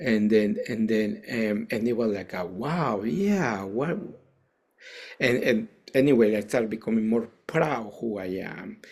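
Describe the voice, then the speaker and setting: Speaking very slowly in a Mexican accent, a man with a medium pitch is heard in a very clean recording with a silent background. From Mexico, Veracruz. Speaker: Zen priest and teacher. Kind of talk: interview. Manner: halting, many repetitions and fillers.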